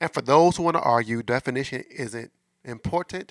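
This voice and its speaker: On a very clean recording with a silent background and a dry, close sound with no echo, a man with an American accent speaks at a fairly quick pace and medium pitch, with vocal fry. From US Midwest, St. Louis, Missouri. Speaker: podcast host, relationship coach. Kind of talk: casual monologue about relationships. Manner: conversational, filler-heavy.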